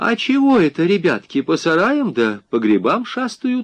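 A man's put-on character voice, high-pitched with very wide pitch swings at a moderate pace

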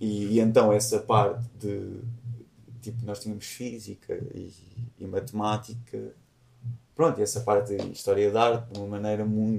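Somewhat breathy and monotone, a man speaks at a moderate pace with flat intonation, big swings in loudness and long, frequent pauses. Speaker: musician. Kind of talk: casual chat.

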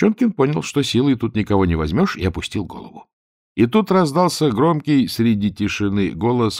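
The setting is quiet. A natural reading voice carries the text.

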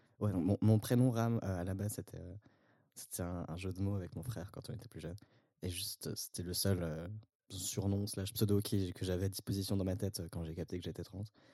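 This man's voice is very deep and low, with a dark, mellow tone. He talks at a fairly quick pace with fairly even intonation. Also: very clean recording, silent background. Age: 20s. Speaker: sociology student. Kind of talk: casual chat.

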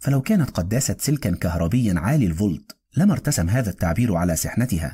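Set against a quiet background, a natural reading voice moves with lively intonation.

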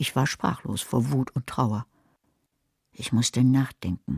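Slow and extremely low for a woman, her put-on character voice has a husky, rough edge and a slightly mellow tone. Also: ordinary pitch variation.

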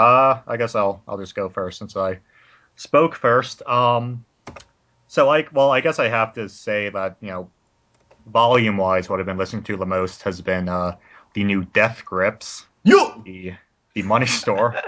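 At a fairly slow pace, a man speaks in a normal speaking voice, his pitch fairly low with ordinary variation. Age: 20s. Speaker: teaching instructor. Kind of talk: casual banter podcast.

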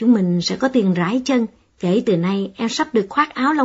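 This recording features a natural reading voice.

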